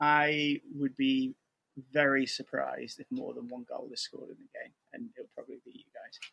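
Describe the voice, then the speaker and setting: A man with a northern English accent speaks at a moderate pace, his loudness swinging widely in a dry, close recording with no echo. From Manchester area, England. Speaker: football fan guest. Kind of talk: casual interview.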